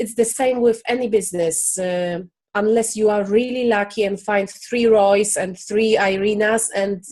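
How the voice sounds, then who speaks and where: A woman with a non-native accent speaks at a fairly slow pace. Her intonation stays fairly even. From Poland. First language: Polish. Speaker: business founder. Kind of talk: interview. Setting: video call. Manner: halting.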